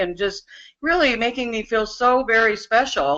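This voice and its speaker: A woman talks at a moderate pace, her fairly high voice showing ordinary pitch variation. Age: 60s. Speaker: business opportunity member giving testimonial. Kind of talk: testimony. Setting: webinar. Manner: animated.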